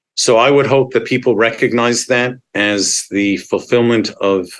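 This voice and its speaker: A man with a normal speaking voice and a Canadian accent, at a fairly slow pace with fairly even intonation, over a quiet background. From Montreal, Quebec. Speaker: advocacy organization executive. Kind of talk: interview.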